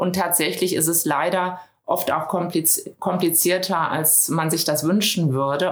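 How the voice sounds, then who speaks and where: Fairly slow and fairly low in pitch, a woman uses a normal speaking voice with fairly even intonation. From Düsseldorf, western Germany. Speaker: business consultant. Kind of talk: interview. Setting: studio, in person.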